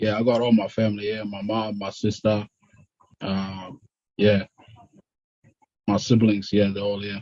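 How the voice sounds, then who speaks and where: The man speaks fairly slowly at a fairly low pitch. His intonation is monotone and flat, with long, frequent pauses. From Australia (Melbourne), arrived from South Sudanese refugee camp at 12. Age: 30s. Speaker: immigration detainee. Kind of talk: interview.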